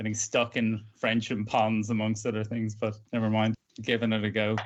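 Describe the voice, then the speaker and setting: Against a quiet background, a man with a Dublin accent speaks in a fairly low pitch. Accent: Irish (Dublin). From Ireland, Dublin. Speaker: motorcyclist, wine trade worker. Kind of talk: casual chat.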